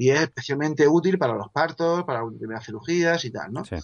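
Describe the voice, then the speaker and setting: A plain, everyday voice from a man, lively intonation, moderate pace. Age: 40s. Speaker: author. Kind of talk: casual chat.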